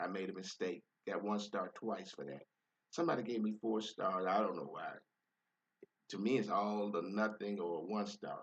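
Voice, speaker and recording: Here a man speaks in a fairly low pitch at a moderate pace. He takes long, frequent pauses. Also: ordinary pitch variation. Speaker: rideshare driver. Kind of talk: casual monologue. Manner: calm, nice tone; halting, repeats words.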